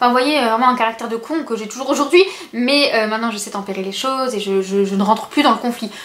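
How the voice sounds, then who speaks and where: A woman talks very fast at a high pitch with ordinary pitch variation. Noticeable background noise sits behind her. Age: 20s. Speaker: beauty and lifestyle youtuber. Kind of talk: casual vlog talking to camera. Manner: soft-spoken; hesitant, many fillers.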